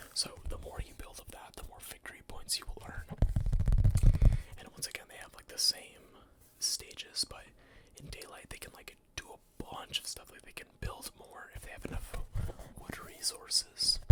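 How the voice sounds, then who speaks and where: Whispering at a moderate pace with long, frequent pauses, over noticeable background noise. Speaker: ASMR content creator. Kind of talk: ASMR collection showcase, casual talk to camera. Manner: soft-spoken, conversational.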